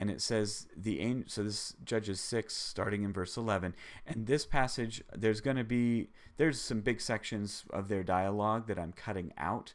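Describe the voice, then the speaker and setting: On a very clean recording with a silent background, a man uses an unremarkable speaking voice of fairly low pitch, with ordinary pitch variation and a moderate pace. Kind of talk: live bible teaching stream. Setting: live stream.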